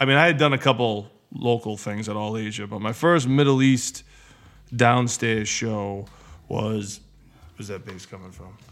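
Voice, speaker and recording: With an American accent, a man speaks in a normal speaking voice at a moderate pace and medium pitch, with ordinary pitch variation and big swings in loudness. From New England (Massachusetts/New Hampshire). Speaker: hip hop concert promoter. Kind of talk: casual chat.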